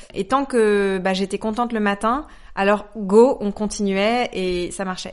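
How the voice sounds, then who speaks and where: A woman's fairly high voice, fairly slow in pace, with ordinary pitch variation. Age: 30s. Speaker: agency director and author. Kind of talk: interview. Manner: hesitant fillers.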